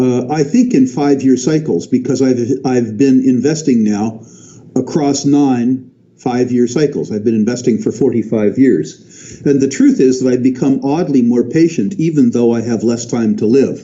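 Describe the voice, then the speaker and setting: Man at a moderate pace, medium pitch, ordinary pitch variation, with noticeable background noise. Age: 60s. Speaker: resource investor. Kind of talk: interview. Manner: halting, with frequent restarts.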